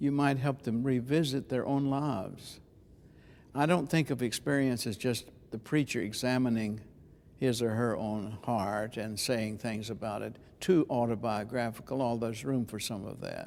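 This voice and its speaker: Moving at a moderate pace, a man uses a plain, everyday voice at a medium pitch with ordinary pitch variation, on a very clean recording with a silent background. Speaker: preacher and homiletics teacher. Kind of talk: interview answer. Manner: conversational, thoughtful.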